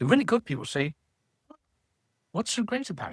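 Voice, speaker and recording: A man with a British accent, very wide pitch swings, and a dry, close sound with no echo. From Britain. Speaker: sales researcher and author. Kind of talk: interview.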